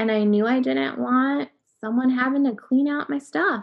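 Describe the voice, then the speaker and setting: A woman speaks with an American accent. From US Upper Midwest (North Dakota, Minnesota). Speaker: magazine digital editor, cancer survivor. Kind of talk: personal story in interview.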